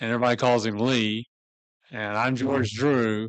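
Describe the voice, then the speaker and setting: The speaker has a Southern US accent and a moderate pace. The background is quiet. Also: man. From US South, Memphis, Tennessee. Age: 70s. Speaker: church member telling life story. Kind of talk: personal life story talk.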